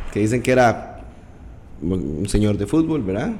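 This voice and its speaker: A man talks at a moderate pace with a fairly low pitch. There is noticeable background noise and audible room echo. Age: 30s. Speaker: podcast host. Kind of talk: interview.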